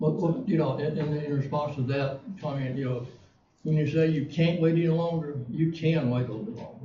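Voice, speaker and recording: A fairly high-pitched, somewhat breathy man's voice with a dark, mellow tone, an Alabama accent, ordinary pitch variation, a fairly quick pace and audible room echo. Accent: US Southern (Alabama). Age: 70s. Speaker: city council member. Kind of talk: council meeting debate.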